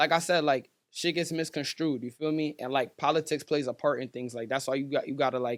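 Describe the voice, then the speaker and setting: A plain, everyday voice from a man with an American accent, fairly even intonation and a fairly quick pace, in a very clean recording over a silent background. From Stratford, Connecticut. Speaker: rapper. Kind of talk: casual chat.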